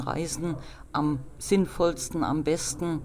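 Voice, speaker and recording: With monotone, flat intonation, a woman talks in a very deep, low pitch. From Rhineland-Palatinate, Nahe region. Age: 40s. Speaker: civil engineer and travel agency owner. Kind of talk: interview.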